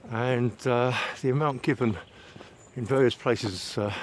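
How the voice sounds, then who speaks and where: A man with an English accent at a medium pitch and moderate pace, with noticeable background noise. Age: 60s. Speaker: vlogger. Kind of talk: casual walking vlog monologue. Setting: outdoors, walking in woods. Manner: hesitant, frequent fillers.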